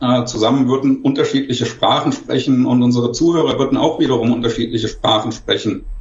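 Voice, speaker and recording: With audible room echo and noticeable background noise, a man's fairly high voice keeps fairly even intonation. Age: 50s. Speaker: industry education manager. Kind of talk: panel discussion. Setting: remote video call. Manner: formal.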